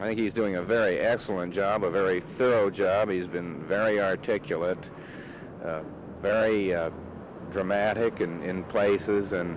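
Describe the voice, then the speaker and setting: Background noise is noticeable as a man talks at a fairly slow pace. His pitch sits fairly low, and his intonation stays fairly even. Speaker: defense attorney. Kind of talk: press interview answer.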